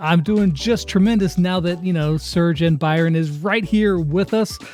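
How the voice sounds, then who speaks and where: Music plays in the background as a man talks at a high pitch. His pace is moderate, his intonation fairly even and his loudness very even. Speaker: gaming YouTuber. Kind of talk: interview host questions.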